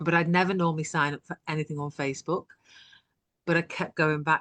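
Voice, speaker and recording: With a British accent and very deep, low pitch, a woman talks at a fairly quick pace and fairly even intonation, the sound dry and close with no echo against a quiet background. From UK. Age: 60s. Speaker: online business owner. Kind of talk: interview testimony.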